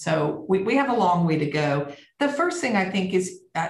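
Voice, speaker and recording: With a Southern US accent, a somewhat breathy voice speaks at a fairly slow pace amid audible room echo. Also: woman. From US South. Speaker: company CEO. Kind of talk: interview.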